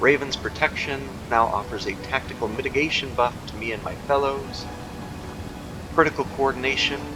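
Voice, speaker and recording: Fairly high male voice at a moderate pace, with ordinary pitch variation and big swings in loudness, over music in the background. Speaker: gaming youtuber. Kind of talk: game tutorial.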